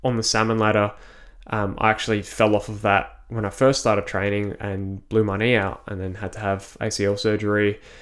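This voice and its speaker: A man's fairly low-pitched voice with an Australian accent, a monotone, flat intonation and a moderate pace. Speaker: personal trainer and ninja warrior athlete. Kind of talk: casual interview.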